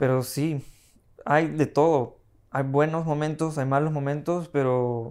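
Very slow, monotone speech from a man with a fairly high pitch, flat in intonation, against a quiet background. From Peru. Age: 20s. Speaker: assistant director, film school graduate; podcast guest. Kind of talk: casual chat. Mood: relaxed, reflective. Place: home room. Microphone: lapel.

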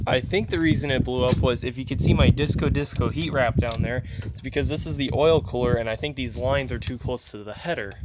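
A man rattles along at a very fast pace, his pitch varying in an ordinary way, while loud background noise fills the clip. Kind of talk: casual vlog chat. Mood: mildly annoyed, storytelling. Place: street. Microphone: phone near.

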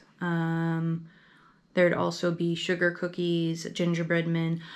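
A woman talks with an American accent. Her pitch sits fairly low for a woman. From US Midwest. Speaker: YouTuber; vlogger. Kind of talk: casual vlog monologue. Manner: halting, many fillers. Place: home room. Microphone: camera far.

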